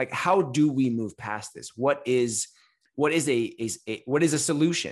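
A man with an American accent speaks in a plain, everyday voice at moderate pace and medium pitch, with ordinary pitch variation and big swings in loudness, against a quiet background. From California. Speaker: elementary school principal and podcast co-host. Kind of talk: casual chat.

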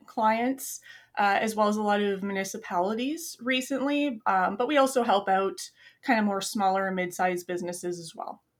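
On a very clean recording with a silent background, a woman with a Canadian accent uses an ordinary speaking voice, fairly high in pitch, with lively intonation at a moderate pace. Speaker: UX designer and project manager. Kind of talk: casual interview.

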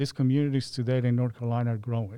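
A man with a Spanish accent speaks at a medium pitch in a dark, mellow tone, recorded very cleanly against a silent background. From Colombia (Medellin). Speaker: county transportation planner. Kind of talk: interview.

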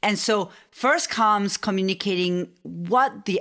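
A woman speaks here. Her voice carries vocal fry. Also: very clean recording, silent background. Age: 40s. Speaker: business coach and strategist. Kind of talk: interview. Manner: halting.

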